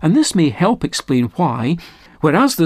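With a Scottish accent, a man speaks at a high pitch and a moderate pace. His pitch swings very widely. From Scotland. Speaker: Bible teacher. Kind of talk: recorded Bible teaching talk. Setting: studio. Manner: formal.

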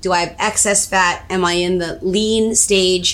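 A woman speaks at a medium pitch with fairly even intonation in a plain, everyday voice. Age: 40s. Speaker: matchmaker. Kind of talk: casual health chat on a live stream. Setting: Facebook Live video stream.

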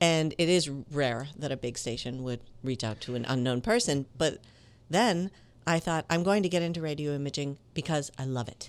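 A woman with an American accent, her pitch very deep and low, lively intonation at a moderate pace, on a very clean recording with a silent background. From Minneapolis, Minnesota, US. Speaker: voiceover actor and acting teacher. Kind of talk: casual interview.

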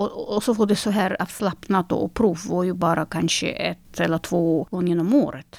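Speaking at a fairly slow pace, a woman uses a fairly low pitch with vocal fry. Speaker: concert pianist. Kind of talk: interview. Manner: halting.

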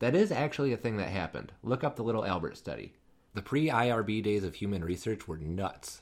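An unremarkable speaking voice from a man, fairly low in pitch, at a fairly quick pace with lively intonation, on a very clean recording with a silent background. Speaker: pediatric education podcast host. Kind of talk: scripted narration.

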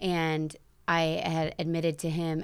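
In a very clean recording with a silent background, a woman with a fairly low pitch speaks in a Midwestern American accent. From South Bend, Indiana. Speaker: CrossFit gym owner and nutrition coach. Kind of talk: casual interview.

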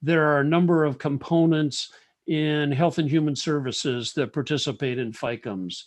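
With an American accent, a man speaks in a normal speaking voice at a fairly high pitch, his pitch varying in an ordinary way. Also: moderate pace. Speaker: government EMS office director. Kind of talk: formal interview.

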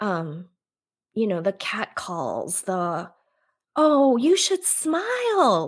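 Speaking very slowly, a woman is heard on a very clean recording with a silent background. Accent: General American. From US, Korean-born, raised in America from infancy. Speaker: author and yoga instructor. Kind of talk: casual interview. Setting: live video stream.

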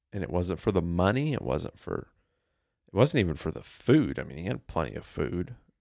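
A man talks fairly quickly in a very deep, low voice with vocal fry, very wide pitch swings and big swings in loudness. The recording is very clean, with a silent background. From US. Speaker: podcast co-host. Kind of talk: casual chat.

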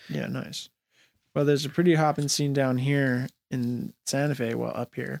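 A man with an ordinary speaking voice talks at a moderate pace and medium pitch with fairly even intonation, the sound dry and close with no echo. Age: 30s. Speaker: hip-hop radio host. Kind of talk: casual interview.

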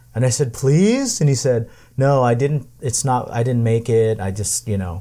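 A man with a medium-pitched voice, a dark, mellow tone and a somewhat breathy quality. He speaks at a moderate pace with ordinary pitch variation, on a very clean recording with a silent background. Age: 50s. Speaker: podcast host. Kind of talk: casual chat. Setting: home tiki bar.

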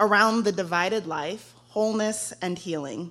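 A woman speaks with an American accent in an unremarkable speaking voice. Her medium pitch shows ordinary variation at a moderate pace. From Texas. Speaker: guest preacher, young adult ministry director. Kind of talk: sermon. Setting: church.

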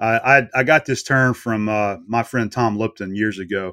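A bright, sharp tone moves at a moderate pace with ordinary pitch variation on a very clean recording with a silent background. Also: man. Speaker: YouTube machinist. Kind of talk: casual interview chat.

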